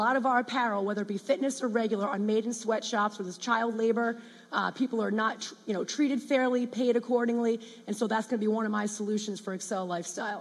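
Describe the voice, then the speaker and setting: Speaking very fast, a woman with a US Northeastern accent has a fairly high pitch. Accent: US Northeast. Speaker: startup founder. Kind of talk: pitch presentation.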